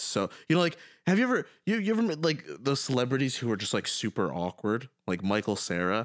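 A man's medium-pitched voice, fairly quick, with very wide pitch swings and very even loudness, on a very clean recording with a silent background. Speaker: podcast co-host friend. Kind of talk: casual chat. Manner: laughs often.

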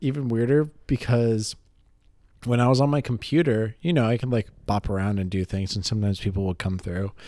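On a very clean recording with a silent background, a man speaks in a dark, mellow tone. His pace is fairly quick and his intonation lively. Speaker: podcast host, therapy-related. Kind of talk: casual chat. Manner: playful, animated.

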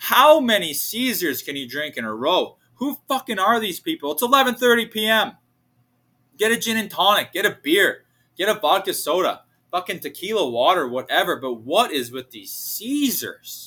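In a raised, projected voice, a man with a high pitch and a bright, sharp tone sounds animated at a moderate pace, with very wide pitch swings and big swings in loudness. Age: 20s. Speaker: podcast host and bartender. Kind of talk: casual solo monologue.

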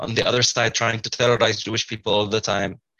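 Here a man with an Arabic accent talks at a fairly quick pace. His intonation remains fairly even. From Kfar Qasem, Israel. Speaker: psychology student. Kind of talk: group discussion. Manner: repeats words.

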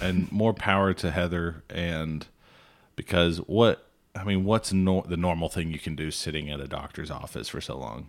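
A man's very deep, low voice with a Southern US accent and big swings in loudness. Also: ordinary pitch variation, moderate pace, very clean recording, silent background. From Alabama. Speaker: podcast co-host, former cattle rancher. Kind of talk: casual chat.

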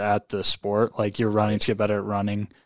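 This man's voice has a dry, close sound without any echo, captured on a very clean recording where the background stays silent. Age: 20s. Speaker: podcast host and athlete. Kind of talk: interview.

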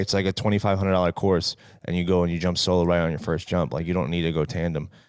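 A man with an American accent talks at a very fast pace with a very deep, low pitch and an animated tone. The recording is very clean, with a silent background. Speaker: guest co-host from another podcast. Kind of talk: casual chat.

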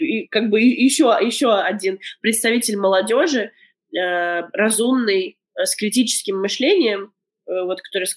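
A woman speaks in a plain, everyday voice at a fairly high pitch. Her pace is fairly slow and her intonation lively. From Latvia, Daugavpils. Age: 30s. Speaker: documentary filmmaker. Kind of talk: interview. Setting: remote call.

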